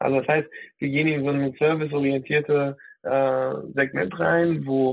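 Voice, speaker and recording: At a moderate pace, a man with a fairly high pitch keeps his intonation fairly even. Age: 30s. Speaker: digital health specialist, former nurse. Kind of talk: interview. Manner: hesitant, many fillers.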